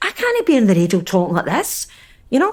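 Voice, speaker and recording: Speaking at a very fast pace, a woman with a Scottish accent uses a fairly high pitch. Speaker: podcast host. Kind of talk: casual discussion. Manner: animated.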